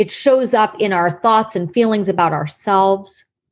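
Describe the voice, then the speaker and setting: A woman talks in a plain, everyday voice of medium pitch, with ordinary pitch variation at a moderate pace. The recording is very clean, with a silent background. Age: 50s. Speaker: psychotherapist. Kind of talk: interview.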